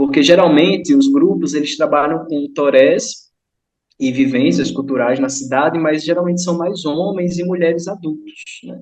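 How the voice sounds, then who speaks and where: A normal speaking voice carries ordinary pitch variation. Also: man, fairly high pitch for a man, moderate pace. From Northeast Brazil, São Francisco river region. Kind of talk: online study group talk.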